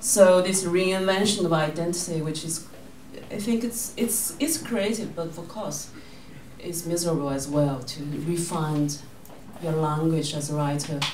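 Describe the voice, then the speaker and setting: Over noticeable background noise, a woman with a Chinese accent speaks fairly slowly at a fairly low pitch. Her loudness swings widely, and the room echo is audible. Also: ordinary pitch variation. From southern China, rural Zhejiang. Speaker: author and filmmaker. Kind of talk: book talk. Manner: halting.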